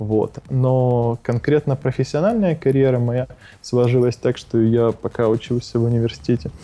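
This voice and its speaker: A man's normal speaking voice, medium in pitch with ordinary variation, at a moderate pace and very even loudness. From Ukraine, Odesa. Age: 20s. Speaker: startup co-founder. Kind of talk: interview.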